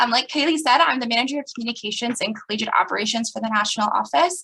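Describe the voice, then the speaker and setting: Her voice is fairly high for a woman, with a bright, sharp tone. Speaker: association staff speaker. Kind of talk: online presentation. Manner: fast.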